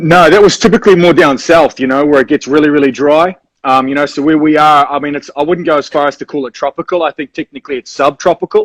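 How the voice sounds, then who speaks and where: A New Zealand accent comes through at a very fast pace with hardly any pauses, fairly even intonation, and a dry, close sound with no echo. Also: man, fairly high pitch for a man. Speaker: rock band musician. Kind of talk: casual interview. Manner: relaxed, filler-heavy.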